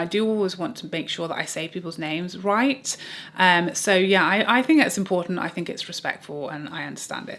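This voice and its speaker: Speaking in an English accent, a woman has a medium pitch and a bright, sharp tone. Her intonation is lively and her pace fairly quick. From England. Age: 30s. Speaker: beauty YouTuber. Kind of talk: casual reaction monologue to camera.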